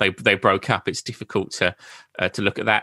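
With an Essex accent, a man speaks in a bright, sharp tone, the sound dry and close with no echo. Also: quiet background. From Essex, England. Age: 30s. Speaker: podcaster and Beatles author. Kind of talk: interview. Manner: halting.

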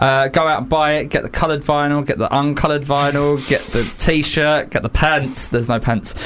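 A man's fairly high-pitched voice, fairly quick and monotone with flat intonation, over noticeable background noise. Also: hardly any pauses. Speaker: radio host. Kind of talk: casual radio interview. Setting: studio.

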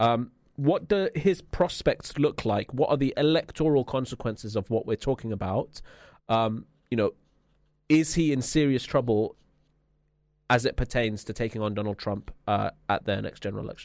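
A medium-pitched man with a London accent, lively intonation and a moderate pace, over a quiet background. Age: 20s. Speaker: radio host. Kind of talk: casual chat. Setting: studio.

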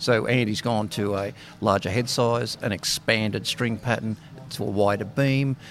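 A man with an Australian accent speaks in a fairly low voice with ordinary pitch variation. Noticeable background noise runs beneath him. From Australia (Sydney). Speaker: racket stringer. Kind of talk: interview.

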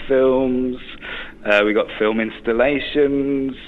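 Noticeable background noise sits behind the voice. Delivery is fairly slow, and the pitch varies in an ordinary way. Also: man. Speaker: film festival organiser. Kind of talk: interview. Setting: phone call.

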